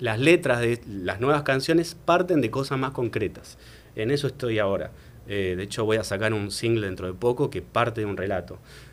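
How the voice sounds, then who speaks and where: In a very clean recording with a silent background, a man with an unremarkable speaking voice talks at a moderate pace and medium pitch, his intonation lively. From Argentina. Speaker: singer-songwriter and writer. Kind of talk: interview answer.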